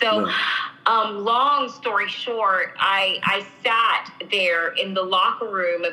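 With an American accent, a woman speaks very slowly amid noticeable background noise and audible room echo. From Miami, Florida. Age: 40s. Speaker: ministry founder. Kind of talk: interview testimony.

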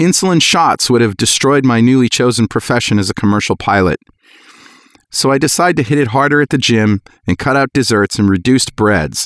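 In a dry, close sound with no echo, a man with an American accent uses a plain, everyday voice at medium pitch, with lively intonation, a fairly quick pace and very even loudness. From US Northeast. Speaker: podcast host. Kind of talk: casual chat.

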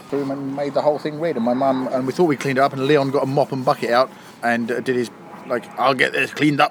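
A man with a British accent speaks at a fairly high pitch and a very fast pace. His intonation is monotone and flat, and noticeable background noise runs behind him. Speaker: podcast guest. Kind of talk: casual banter. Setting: pub garden.

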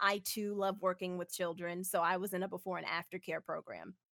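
At a moderate pace, a woman talks in a plain, everyday voice of medium pitch, the sound dry and close with no echo. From Houston, Texas. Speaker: programmer. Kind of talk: casual interview.

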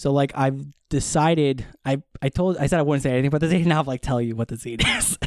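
At a fairly quick pace, a man speaks in an unremarkable speaking voice with fairly high pitch and fairly even intonation, in a dry, close sound with no echo. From Wisconsin, US Midwest. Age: 30s. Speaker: television assistant editor, amateur photographer. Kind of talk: casual chat.

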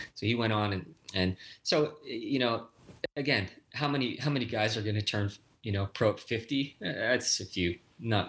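This man has an unremarkable speaking voice, fairly low in pitch with ordinary pitch variation, at a moderate pace in a very clean recording with a silent background. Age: 40s. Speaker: stunt performer and director. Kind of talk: casual chat.

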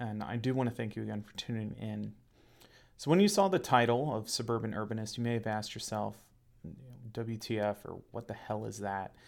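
On a very clean recording with a silent background, a man with a Midwestern American accent speaks at a fairly quick pace and medium pitch, with ordinary pitch variation and big swings in loudness. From Ohio, Cincinnati suburbs. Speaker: podcast host, local government economic development director. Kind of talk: solo monologue podcast.

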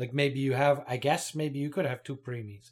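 Recorded very cleanly with a silent background, a man speaks at a fairly high pitch, somewhat breathy, with fairly even intonation. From Toronto, Canada. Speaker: podcast co-host. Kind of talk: casual chat.

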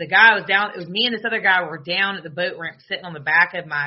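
A woman in a Southern US accent, with ordinary pitch variation. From US South. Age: 30s.

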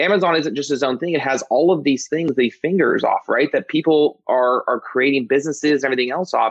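An enthusiastic man with a fairly high pitch speaks very fast with hardly any pauses. His loudness stays very even, and his pitch varies in an ordinary way. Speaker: podcast host. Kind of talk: interview.

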